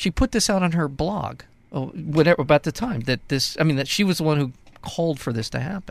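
With an ordinary speaking voice, this man speaks at a fairly high pitch and a fairly quick pace, his intonation lively and the sound dry and close with no echo against a silent background on a very clean recording. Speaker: radio host. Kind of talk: casual radio banter and commentary.

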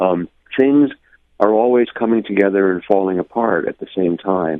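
A man talks at a moderate pace with ordinary pitch variation. His is an unremarkable speaking voice. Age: 60s. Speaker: poet and spiritual teacher. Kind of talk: radio interview. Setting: phone call.

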